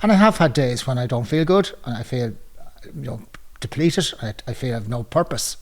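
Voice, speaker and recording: In an Irish accent, a medium-pitched man talks at a fairly quick pace, somewhat breathy, his intonation lively and his loudness swinging widely. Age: 60s. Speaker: retiree, men's shed member. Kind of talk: testimony.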